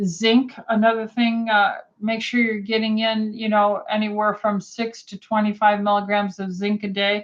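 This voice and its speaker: A woman speaks at a moderate pace with a fairly high pitch. Her voice is somewhat breathy, and her intonation is monotone and flat. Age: 60s. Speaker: physician. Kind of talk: live Q&A. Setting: livestream. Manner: frequent fillers uh um.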